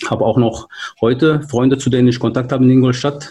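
In a Turkish accent, a man speaks at a medium pitch with fairly even intonation. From Turkey, moved to Germany at 13. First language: Turkish (speaking German). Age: 40s. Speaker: hobby rapper and DJ, car industry employee. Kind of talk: casual interview. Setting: virtual studio, remote call.

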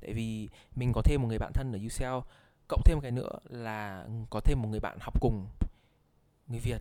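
A man's dark, mellow voice at a medium pitch, with fairly even intonation, big swings in loudness, a moderate pace, and long, frequent pauses. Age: 20s. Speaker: university student. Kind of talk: casual chat.

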